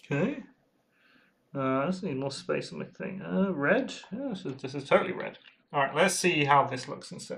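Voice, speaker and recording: Speaking quietly at a moderate pace, a man with vocal fry uses lively intonation and big swings in loudness. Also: fairly high pitch for a man. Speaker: hobby streamer painting miniatures. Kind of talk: casual livestream chat while painting. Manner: quiet while concentrating.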